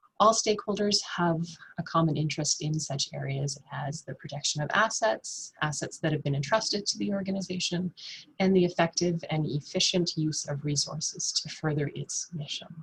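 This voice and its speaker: A soft-spoken, somewhat breathy woman talks at a fairly low pitch. Her pitch varies in an ordinary way, at a moderate pace. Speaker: nonprofit finance presenter. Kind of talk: webinar presentation. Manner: halting, many fillers.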